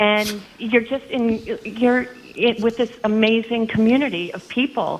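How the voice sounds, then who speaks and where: She has an unremarkable speaking voice with a fairly high pitch. Her intonation stays fairly even at a fairly slow pace. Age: 60s. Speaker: caller. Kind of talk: call-in chat.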